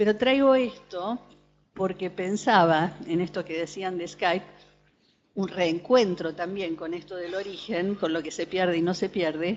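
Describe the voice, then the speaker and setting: At a fairly slow pace, a woman speaks at a medium pitch. Her pitch varies in an ordinary way. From Argentina, born in Beirut. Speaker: psychoanalyst attendee. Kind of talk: panel discussion testimony. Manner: hesitant, many fillers.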